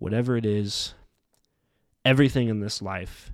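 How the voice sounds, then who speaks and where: A man's fairly low voice at a moderate pace, fairly even in intonation, on a very clean recording with a silent background. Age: 20s. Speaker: podcast host. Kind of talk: reflective monologue. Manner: casual, with frequent fillers.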